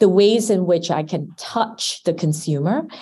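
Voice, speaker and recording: Speaking at a fairly slow pace, a woman with a dark, mellow, somewhat breathy tone and medium pitch uses lively intonation against a quiet background. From Singapore. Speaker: marketing executive. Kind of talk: interview.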